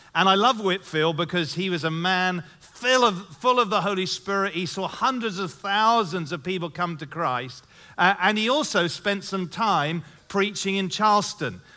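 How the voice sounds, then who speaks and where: A man with a high voice speaks up loudly at a moderate pace, his tone bright and sharp, his pitch moving in an ordinary way, against a quiet background. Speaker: pastor. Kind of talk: sermon. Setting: church stage with audience.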